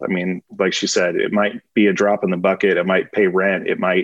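A plain, everyday voice from a man, fairly low in pitch, at a fairly quick pace. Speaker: restaurant and pub owner. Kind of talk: interview.

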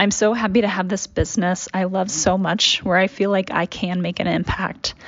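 A plain, everyday voice from a woman with an American accent, medium in pitch, at a moderate pace. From Dallas, Texas. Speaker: small business owner. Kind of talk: audio essay, scripted narration.

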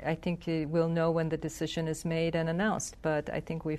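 The speaker talks at a fairly quick pace in a Korean accent. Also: woman. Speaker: foreign minister. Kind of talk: diplomatic interview.

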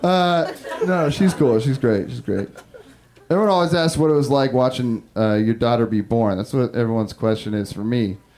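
An ordinary speaking voice with an American accent, lively intonation and a moderate pace. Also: man, medium pitch for a man. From Northern California, Humboldt County. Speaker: stand-up comedian. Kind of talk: stand-up. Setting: stage with audience.

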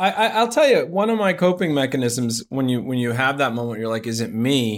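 A man talks at a moderate pace. His medium-pitched voice has lively intonation. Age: 50s. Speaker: agency co-founder and leader. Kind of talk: casual chat. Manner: loud.

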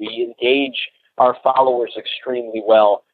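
Using a normal speaking voice, a man talks at a moderate pace with a medium pitch. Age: 30s. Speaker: cold calling coach. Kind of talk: interview.

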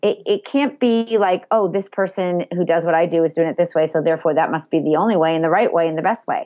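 Energetic in tone, a woman with a Boston accent talks at a very fast pace with hardly any pauses, using a fairly low pitch and ordinary pitch variation. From Massachusetts, Boston area (Andover). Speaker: social media marketing expert and entrepreneur. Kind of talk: interview.

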